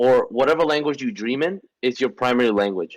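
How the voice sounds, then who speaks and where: This man talks at a medium pitch with a Spanish accent. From Venezuela. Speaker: podcast co-host. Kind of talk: casual chat. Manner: fast, animated with many restarts.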